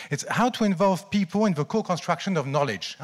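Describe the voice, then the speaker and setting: Everything behind the speaker is quiet. A man talks at a very fast pace. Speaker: keynote speaker. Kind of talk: conference talk. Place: hall. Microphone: handheld.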